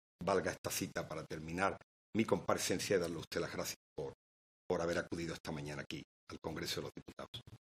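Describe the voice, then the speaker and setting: Very fast speech from a man with a very deep, low pitch in an Andalusian accent, with fairly even intonation, dry and close with no echo. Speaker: member of parliament. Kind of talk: parliamentary speech. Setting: parliament committee hearing. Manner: formal.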